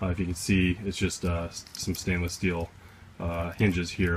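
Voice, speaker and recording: A man's very deep, low voice at a fairly quick pace, with music in the background. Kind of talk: casual vlog chat. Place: open country. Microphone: phone near.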